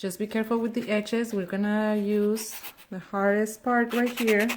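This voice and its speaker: Here is a woman with a Spanish accent and a fairly high pitch. She speaks at a moderate pace in a monotone, flat intonation. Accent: Spanish accent, noticeable. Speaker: nail technician. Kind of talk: tutorial. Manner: halting, with fillers.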